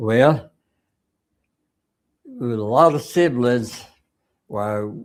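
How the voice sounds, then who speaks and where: A man with an Arkansas accent at a very slow pace. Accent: rural Southern US (Arkansas). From Arkansas, US South. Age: 90s. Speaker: war veteran. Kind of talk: interview. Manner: halting.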